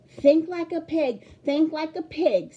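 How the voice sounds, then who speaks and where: An extremely high, put-on character voice from a woman, delivered fairly slowly. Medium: read story. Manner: brisk, self-assured.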